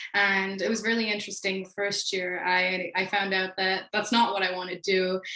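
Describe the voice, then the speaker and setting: Noticeable background noise sits behind a woman's voice. Her medium pitch carries a monotone, flat intonation. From Beijing, China. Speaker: panelist, former international student. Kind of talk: panel talk.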